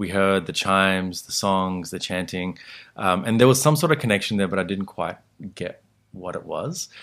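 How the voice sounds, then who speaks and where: Fairly low in pitch, a man speaks with an Australian accent. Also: ordinary pitch variation, moderate pace, very clean recording, silent background. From Australia (born in Sri Lanka, moved after age six). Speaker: meditation teacher. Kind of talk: interview, teaching tone. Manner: calm, relaxed with many fillers.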